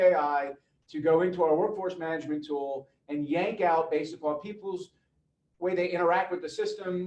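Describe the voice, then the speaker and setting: A man's high voice is heard with audible room echo. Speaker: webinar presenter on AI in corporate learning. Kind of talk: virtual conference presentation. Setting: online virtual summit. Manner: fast.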